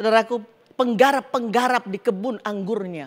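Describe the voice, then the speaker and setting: A woman at a moderate pace. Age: 60s. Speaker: pastor. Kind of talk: sermon. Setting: church.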